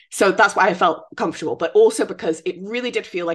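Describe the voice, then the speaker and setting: A woman with a British accent, at a very fast pace. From Britain. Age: 30s. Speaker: royal news podcast co-host. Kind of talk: casual chat.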